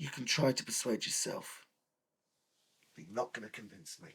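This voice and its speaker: A man speaks at a moderate pace in a raspy, put-on character voice with a medium pitch. His loudness swings widely. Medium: short film. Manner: sarcastic, aggrieved.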